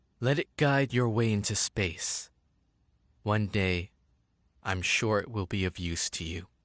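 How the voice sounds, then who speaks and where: A man's put-on character voice, fairly low in pitch, fairly slow, with long, frequent pauses. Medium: video game. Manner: gentle, warm.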